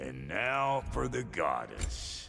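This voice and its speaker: A man drawls in a put-on character voice with a Southern US accent. Clear background noise can be heard. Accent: Southern American drawl. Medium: video game. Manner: drawling, crude.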